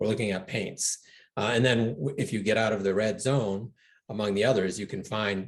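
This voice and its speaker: Fairly quick, somewhat breathy speech with fairly even intonation over a quiet background. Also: man. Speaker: environmental nonprofit founder. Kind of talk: interview. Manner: soft-spoken.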